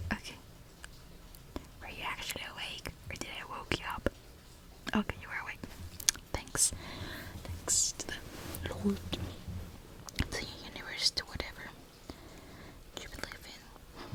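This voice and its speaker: A woman whispers at a fairly slow pace, leaving long, frequent pauses, her loudness swinging widely amid noticeable background noise. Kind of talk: ASMR sleepover ramble, whispered talk to camera. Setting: rain sounds in background. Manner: soft-spoken, whispered, rambling.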